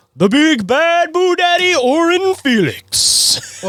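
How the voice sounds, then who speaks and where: Putting on a character voice, a man speaks very slowly at an extremely high pitch. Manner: dramatic, drawn out.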